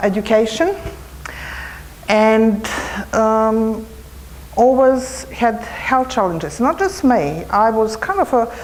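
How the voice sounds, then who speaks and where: Speaking with a Serbo-Croatian accent, a woman has a fairly high pitch and lively intonation. Her pace is fairly slow, and noticeable background noise is present. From former Yugoslavia. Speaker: cancer retreat trainer. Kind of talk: conference presentation. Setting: conference hall microphone.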